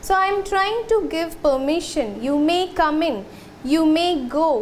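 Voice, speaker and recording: With audible room echo, a woman speaks at an extremely high pitch and moderate pace, using ordinary pitch variation. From India. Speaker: school teacher. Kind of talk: lecture.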